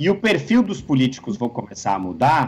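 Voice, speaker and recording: Very wide pitch swings from a man with a fairly high pitch, at a moderate pace. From Brazil, São Paulo. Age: young. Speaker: political scientist. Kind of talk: interview.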